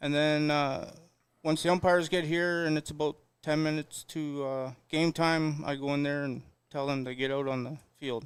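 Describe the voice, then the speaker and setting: Flat, monotone delivery at a moderate pace with a Canadian accent, on a very clean recording with a silent background. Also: man, fairly high pitch for a man. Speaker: clubhouse attendant. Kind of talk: interview.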